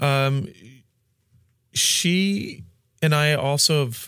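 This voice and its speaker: The background is silent and the recording very clean. His pitch moves with ordinary variation. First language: Spanish. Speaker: pastor. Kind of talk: interview. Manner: halting.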